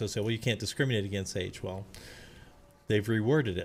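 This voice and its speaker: A man speaks at a medium pitch, keeping his intonation fairly even. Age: 60s. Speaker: streamer, retired data center worker. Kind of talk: live gameplay commentary. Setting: live stream. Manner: casual, hesitant with fillers.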